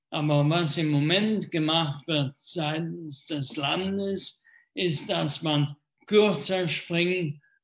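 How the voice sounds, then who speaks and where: A man talks at a very slow pace, his fairly high pitch held in fairly even intonation over a quiet background. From Germany, Rhineland (Wesseling near Cologne). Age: 60s. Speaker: mayor. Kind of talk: live talk interview. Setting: live video stream.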